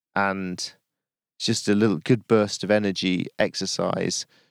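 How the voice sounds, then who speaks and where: Fairly low in pitch, a man speaks at a fairly slow pace with very even loudness. The sound is dry and close with no echo, on a very clean recording with a silent background. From Yorkshire. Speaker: podcast host and adventurer. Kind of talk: reflective solo monologue. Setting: outdoors on a hilltop.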